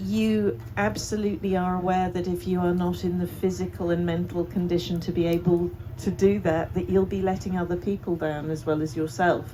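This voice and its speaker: Somewhat breathy and dark, mellow in tone, a woman speaks at a fairly quick pace with lively intonation. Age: 60s. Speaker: festival co-founder and activist. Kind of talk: panel discussion.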